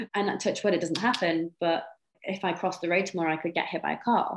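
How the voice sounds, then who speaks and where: A Welsh accent with monotone, flat intonation at a fairly quick pace. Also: woman. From North Wales. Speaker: sport shooter. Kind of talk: interview.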